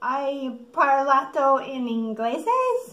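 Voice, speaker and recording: A female-sounding put-on character voice, high-pitched and at a very slow pace. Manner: feigning innocence.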